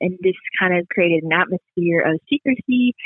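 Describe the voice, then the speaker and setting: At a moderate pace, a woman with a Southern US accent speaks in a fairly low pitch. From US South, Pensacola, Florida. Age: 20s. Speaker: student and church children's ministry worker. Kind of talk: testimony.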